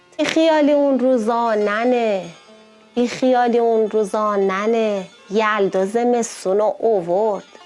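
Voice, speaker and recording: Over music in the background, a woman with an Isfahani accent speaks at a very slow pace and very even loudness. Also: fairly high pitch for a woman, ordinary pitch variation. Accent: Isfahani Persian. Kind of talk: poetry reading.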